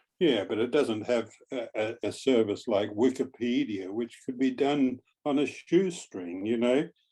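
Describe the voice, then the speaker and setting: Using a dark, mellow tone at medium pitch, a man with an Australian accent talks at a fairly slow pace with ordinary pitch variation. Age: 80s+. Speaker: retired journalist. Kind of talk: audience question in panel discussion. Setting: video call.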